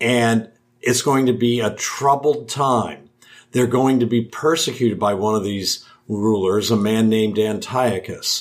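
A man with a Midwestern American accent, medium pitch, a fairly slow pace, fairly even intonation and very even loudness. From Ohio, US Midwest. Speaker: theology professor. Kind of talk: interview. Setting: in person at a conference.

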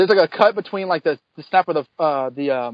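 A man speaks with lively intonation. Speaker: former panelist of the show. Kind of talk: casual chat. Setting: video call.

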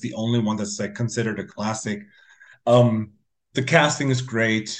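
Speaking at a moderate pace, a man has a normal speaking voice at medium pitch. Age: 40s. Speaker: metal musician. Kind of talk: casual chat.

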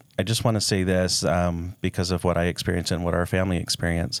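A man with a very deep, low pitch and an American accent, in a very clean recording over a silent background. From Dallas, Texas. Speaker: brain health clinic director. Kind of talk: interview.

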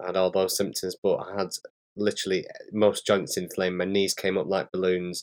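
In a strong northern English accent, a man speaks at a moderate pace with a very deep, low pitch and monotone, flat intonation. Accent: strong northern English (Bolton). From northern England. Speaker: patient co-host living with arthritis. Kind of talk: casual conversation. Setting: remote call.

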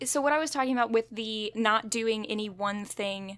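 At a moderate tempo, the pitch shifts in an ordinary manner. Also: woman. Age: 20s. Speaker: podcast host. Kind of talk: casual chat. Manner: animated.

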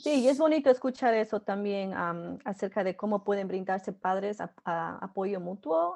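A woman speaks at medium pitch and a moderate pace, with ordinary pitch variation. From Ecuador. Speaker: family educator, podcast host. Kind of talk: interview. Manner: hesitant, many fillers.

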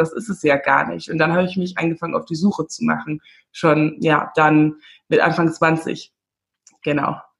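A woman's somewhat breathy, fairly low-pitched voice at a moderate pace, with fairly even intonation. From Namibia. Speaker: confidence coach and podcaster. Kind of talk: casual interview chat.

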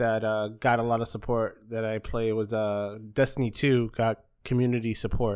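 Speaking with an American accent, a man uses an ordinary speaking voice at a medium pitch. He keeps a moderate pace on a very clean recording with a silent background. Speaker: podcast host. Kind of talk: casual chat.

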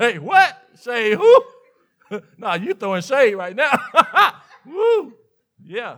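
A man with a Mississippi accent talks very slowly in a bright, sharp tone with lively intonation. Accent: Mississippi Southern. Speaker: pastor. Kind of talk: sermon. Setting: church.

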